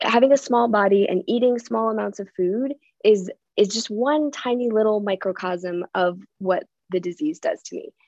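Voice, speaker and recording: A woman speaks in a normal speaking voice, fairly high in pitch, at a moderate pace. Her pitch varies in an ordinary way, and the sound is dry and close with no echo. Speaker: recovering compulsive eater sharing her story. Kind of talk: recovery meeting share. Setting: video call.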